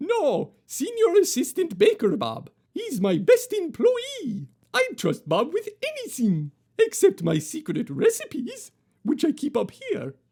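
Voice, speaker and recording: At a fairly slow pace, a put-on character voice comes through at a high pitch. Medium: read story.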